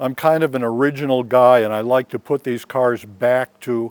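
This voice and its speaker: A man's medium-pitched, monotone, flat delivery at a moderate pace, dry and close with no echo. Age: 70s. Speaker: car owner selling his car. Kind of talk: casual interview talk. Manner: halting, many fillers.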